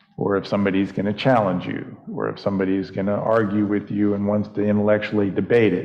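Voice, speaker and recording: Over noticeable background noise, a man with a fairly low voice talks at a very fast pace in a flat monotone, with hardly any pauses. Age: 60s. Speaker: pastor. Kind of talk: interview.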